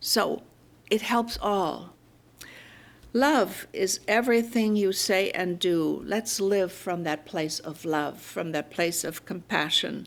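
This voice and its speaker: A woman in a German accent, medium in pitch, with ordinary pitch variation and a very slow pace. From Germany. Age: 80s+. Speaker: minister. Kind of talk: sermon.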